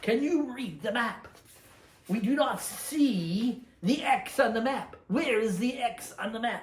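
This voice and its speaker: A man puts on a character voice at an extremely high pitch. It sounds gruff and moves at a fairly slow pace. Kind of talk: pirate talk. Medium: solo performance. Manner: gruff, pirate dialect.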